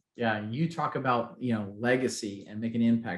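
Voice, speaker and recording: This man's pitch sits in the medium range. His pitch variation is ordinary. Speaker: health coach. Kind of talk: webinar presentation. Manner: fast when excited.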